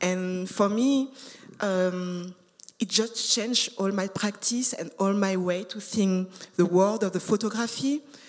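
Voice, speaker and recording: Over noticeable background noise, a woman with a non-native accent talks at a fairly slow pace, her medium pitch showing ordinary variation. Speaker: artist. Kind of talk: panel discussion. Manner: halting, many fillers and repetitions.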